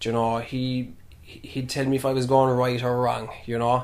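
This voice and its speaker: A man with a Kerry accent at a very slow pace. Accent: Kerry Irish. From Ireland, Killarney, County Kerry. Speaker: primary school teacher and traditional musician. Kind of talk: casual interview. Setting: in his family home.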